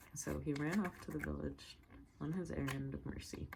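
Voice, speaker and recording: The speaker is a woman. She is soft-spoken. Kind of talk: ASMR story reading.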